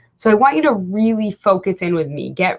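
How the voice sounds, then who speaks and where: Lively intonation marks an ordinary speaking voice that keeps a moderate pace. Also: woman. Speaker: personal development coach. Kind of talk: webinar presentation. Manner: casual, upbeat.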